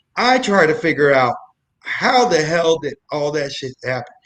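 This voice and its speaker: A loud man speaks at a fairly slow pace in a fairly high pitch. His tone is animated, with very wide pitch swings. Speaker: comedic storyteller guest. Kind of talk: casual chat. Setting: live online show.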